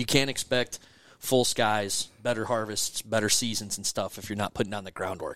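An unremarkable speaking voice from a man at medium pitch, fairly quick and fairly even in intonation, on a very clean recording with a silent background. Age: 40s. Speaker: regional director of a waterfowl conservation group. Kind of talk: casual interview chat.

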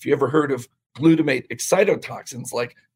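A man's fairly high voice with vocal fry and ordinary pitch variation. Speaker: podcast guest, detox expert. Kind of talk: technical, explanatory.

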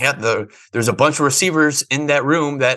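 An ordinary speaking voice moves at a fairly quick pace with fairly even intonation. The background is quiet. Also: man. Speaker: sports podcast co-host. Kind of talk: casual sports analysis discussion.

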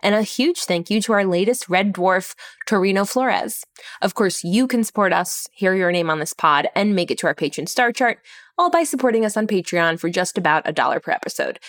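This is an unremarkable speaking voice with lively intonation at a fairly quick pace. The sound is dry and close, with no echo. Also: woman, medium pitch for a woman. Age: 30s. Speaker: writer and comedic podcast co-host. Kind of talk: casual chat. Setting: on location at a medieval dinner show.

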